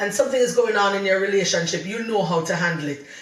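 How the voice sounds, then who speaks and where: A woman speaks with a Jamaican accent at a medium pitch. Her pitch varies in an ordinary way, and the room echo is audible. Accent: Jamaican English, patois slips. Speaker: podcast co-host, wife. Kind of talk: casual chat. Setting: video podcast recording.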